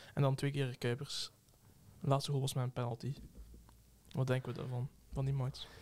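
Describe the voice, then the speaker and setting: A man speaks at a fairly quick pace and a medium pitch, in a somewhat breathy, monotone, flat voice. He leaves long, frequent pauses. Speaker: podcast co-host. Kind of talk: casual chat.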